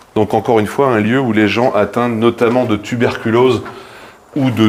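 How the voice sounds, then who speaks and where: Noticeable background noise sits behind a man talking at a moderate pace. His medium-pitched delivery is monotone and flat. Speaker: streamer. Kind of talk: live stream urbex tour. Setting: abandoned building. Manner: loud.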